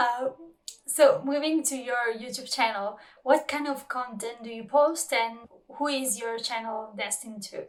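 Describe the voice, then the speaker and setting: At a fairly slow pace, a woman with a non-native accent speaks in a high pitch with ordinary pitch variation and big swings in loudness. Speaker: subtitler and translator, channel host. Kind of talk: interview conversation. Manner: hesitant, many fillers.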